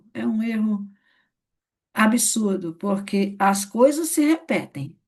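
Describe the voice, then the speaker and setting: With a dark, mellow tone and a somewhat breathy quality, a woman speaks at a very slow pace with lively intonation. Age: 60s. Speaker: network marketing leader. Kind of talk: training session. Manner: conversational.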